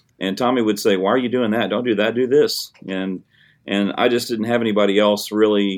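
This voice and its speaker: The speaker talks at a very fast pace with a Tennessee accent. The intonation stays fairly even. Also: man. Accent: US Southern (Tennessee). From Middle Tennessee, Hickman County. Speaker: high school band director. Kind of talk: interview.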